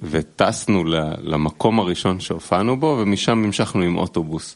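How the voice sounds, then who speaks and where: This man's pitch is very deep and low. He delivers his words fairly slowly. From Israel. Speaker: musician. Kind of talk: casual chat. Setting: studio.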